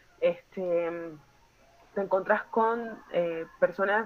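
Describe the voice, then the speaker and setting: Fairly even intonation marks a woman's speech, with noticeable background noise present. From Colombia, Chocó. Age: 30s. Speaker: psychiatrist. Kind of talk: workshop talk.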